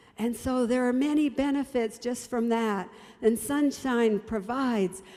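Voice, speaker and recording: Her voice is warm in tone and fairly high for a woman. The pitch varies in an ordinary way. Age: 70s. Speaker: health presenter. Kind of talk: health talk. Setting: broadcast program. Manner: warm, encouraging.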